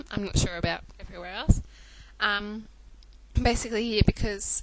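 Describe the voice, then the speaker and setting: Talking at a very fast pace, a woman has an Australian accent. Her medium pitch carries vocal fry. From Australia (Melbourne). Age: 20s. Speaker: chronic illness patient sharing story. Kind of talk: personal testimony vlog. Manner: hesitant, many fillers.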